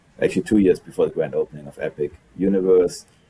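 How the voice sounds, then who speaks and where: In a German accent, a man talks at a very fast pace. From Germany. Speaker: executive chef. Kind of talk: interview.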